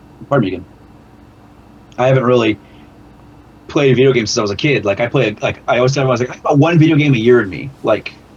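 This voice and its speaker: Somewhat breathy, a man talks at a very fast pace yet leaves long, frequent pauses. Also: medium pitch for a man, ordinary pitch variation. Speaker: amateur rock musician. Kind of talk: casual chat. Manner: fast, sometimes slurred.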